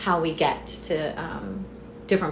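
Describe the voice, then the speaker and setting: A woman with an American accent, plus noticeable background noise and audible room echo. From US South, southwest Florida. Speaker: business founder. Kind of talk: podcast interview.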